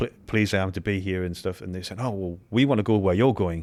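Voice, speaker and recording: A man with a British accent, very deep and low in pitch, at a very fast pace, on a very clean recording with a silent background. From UK. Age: 50s. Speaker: former special forces soldier. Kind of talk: casual chat.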